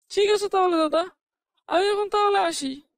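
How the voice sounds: An extremely high-pitched, cartoonish character voice. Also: moderate pace.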